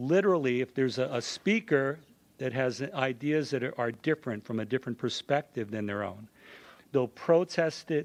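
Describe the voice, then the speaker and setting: A man speaks with lively intonation at a moderate pace, the sound dry and close with no echo against a quiet background. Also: medium pitch for a man. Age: 60s. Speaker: high school teacher speaking in public comment. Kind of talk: public comment at a school board meeting. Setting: school board meeting room. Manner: halting, with frequent repetitions.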